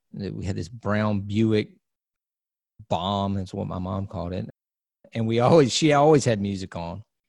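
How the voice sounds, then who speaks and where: A man with a fairly low pitch talks at a moderate pace and ordinary pitch variation. Long, frequent pauses break up his speech on a very clean recording with a silent background. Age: 40s. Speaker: DJ and production company owner. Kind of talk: interview conversation. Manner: halting.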